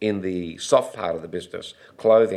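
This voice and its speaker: A man talks in an Australian accent. His pace is moderate. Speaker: retail executive. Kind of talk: interview storytelling.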